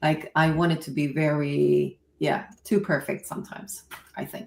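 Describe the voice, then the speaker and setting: A woman with a Swedish accent and very deep, low pitch speaks at a fairly slow pace with vocal fry. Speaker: content creator. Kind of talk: casual chat. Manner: halting.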